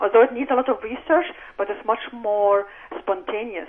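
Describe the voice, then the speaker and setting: A woman speaks in an Arabic accent with ordinary pitch variation. Noticeable background noise is present. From Egypt. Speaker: novelist and professor. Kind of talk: radio interview. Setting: radio studio.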